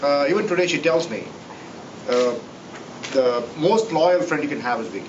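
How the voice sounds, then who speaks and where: With lively intonation, a man speaks amid noticeable background noise and audible room echo. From India, Tamil-speaking south. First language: Tamil. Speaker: professor. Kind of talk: tribute speech. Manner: halting, many fillers.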